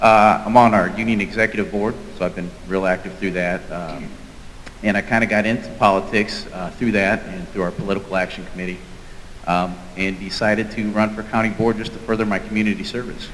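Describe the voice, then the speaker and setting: Fairly quick speech from a man, fairly low-pitched with fairly even intonation, over noticeable background noise. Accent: Midwestern American. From Peoria, Illinois. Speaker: firefighter and county board candidate. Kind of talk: candidate forum speech.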